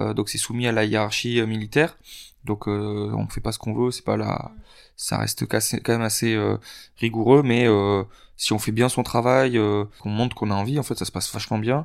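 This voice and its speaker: In a very clean recording with a silent background, a man of medium pitch speaks at a moderate pace in a flat monotone, with long, frequent pauses. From southwest France (Lot). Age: 20s. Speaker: firefighter. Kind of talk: casual interview.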